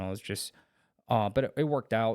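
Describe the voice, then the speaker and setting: A man's voice comes through in a dry, close recording with no echo. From China, moved to US at eleven. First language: Chinese. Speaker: Marine veteran and police officer. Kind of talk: casual interview. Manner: halting.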